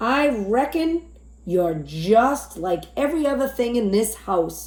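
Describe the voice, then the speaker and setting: A woman puts on a character voice with a fairly high pitch. She speaks at a fairly slow pace, her pitch swinging very widely. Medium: read story. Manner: plainspoken.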